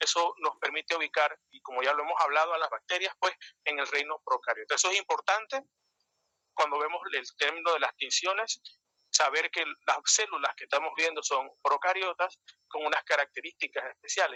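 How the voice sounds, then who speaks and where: The speaker moves at a fairly quick pace with ordinary pitch variation, in a dry, close sound with no echo. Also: man, high pitch for a man. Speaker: microbiology lecturer. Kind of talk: lecture. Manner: fast.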